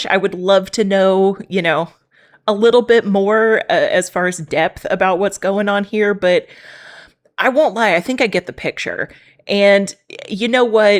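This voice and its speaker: A woman with a Texan accent, medium in pitch, speaking at a fairly slow pace. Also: fairly even intonation. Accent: Texan American English. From Texas. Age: 30s. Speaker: reaction video creator. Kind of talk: casual reaction commentary to camera.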